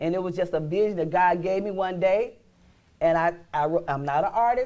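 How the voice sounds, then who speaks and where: The pace is fairly quick, with ordinary pitch variation. The tone is dark and mellow. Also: woman, fairly low pitch for a woman. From Arkansas, small town near Forrest City. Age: 60s. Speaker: inventor and small business owner. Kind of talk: talk show interview.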